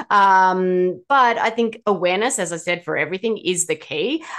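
A woman speaks at a fairly slow pace. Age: 40s. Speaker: ADHD health practitioner and author. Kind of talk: expert interview.

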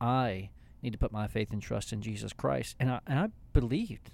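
A man with a normal speaking voice talks at medium pitch with ordinary pitch variation and a moderate pace. The recording is very clean and the background silent. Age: 40s. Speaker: pastor and podcast co-host. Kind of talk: casual theological discussion.

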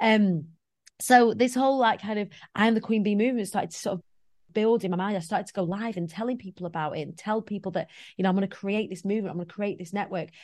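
Delivered in a Lancashire accent at a very fast pace, the voice has ordinary pitch variation over a quiet background. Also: woman, medium pitch for a woman. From northwest England, Preston. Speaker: motivational speaker. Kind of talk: casual chat.

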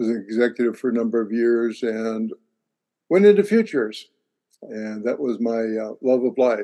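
An American accent marks this man's medium-pitched voice, which has a dark, mellow tone, fairly even intonation, and a moderate pace. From international upbringing (Europe, Russia, Pacific Rim, US, Canada). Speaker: futurist and university lecturer. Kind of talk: interview.

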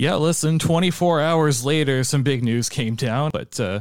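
Using a plain, everyday voice, a man speaks at a moderate pace with a fairly high pitch and lively intonation, in a very clean recording with a silent background and a dry, close sound with no echo. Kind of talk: casual sports analysis. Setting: studio.

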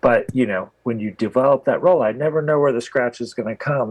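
A man speaks in an American accent at a medium pitch. He has an unremarkable speaking voice with ordinary pitch variation. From US Midwest. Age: 40s. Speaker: photographer. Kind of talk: casual interview conversation.

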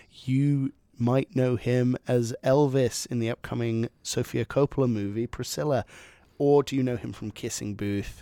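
A man's normal speaking voice at medium pitch and a fairly slow pace, in a very clean recording with a silent background and a dry, close sound with no echo. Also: fairly even intonation. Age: 20s. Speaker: podcast co-host. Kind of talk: casual chat.

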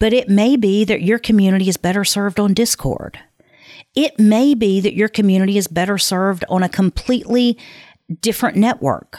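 A woman with a plain, everyday voice speaks fairly quickly at a medium pitch, with ordinary pitch variation, very even loudness and a dry, close sound with no echo. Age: 50s. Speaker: podcast host and production company founder. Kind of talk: solo podcast monologue.

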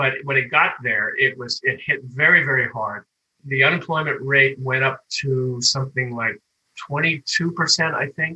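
A man with an American accent speaks at a fairly slow pace, his medium pitch held in a fairly even intonation. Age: 60s. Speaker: grocery store worker. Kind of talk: interview. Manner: halting.

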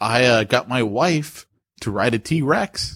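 A man speaks slowly with lively intonation. His tone is fairly bright with a slightly husky edge. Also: medium pitch for a man.

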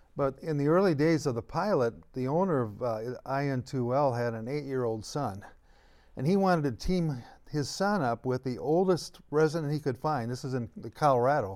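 Very clean and silent in the background, this recording has a man with a normal speaking voice and an American accent. His pitch is fairly high, his intonation lively and his pace moderate. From US Midwest. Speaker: eldercare consultant. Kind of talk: casual chat.

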